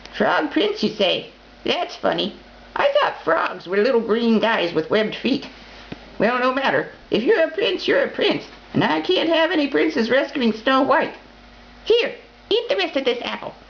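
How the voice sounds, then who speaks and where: In a croaky, put-on character voice, the speaker leaves long, frequent pauses against clear background noise. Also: man, extremely high pitch for a man, moderate pace. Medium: read story.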